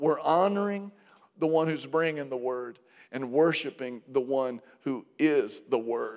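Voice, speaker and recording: With a plain, everyday voice, a man talks at a fairly high pitch with ordinary pitch variation. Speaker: pastor. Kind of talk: sermon introduction and closing blessing. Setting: church.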